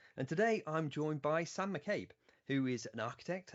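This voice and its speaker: A man with a plain, everyday voice, lively intonation and a moderate pace. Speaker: podcast host, company founder. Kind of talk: podcast interview.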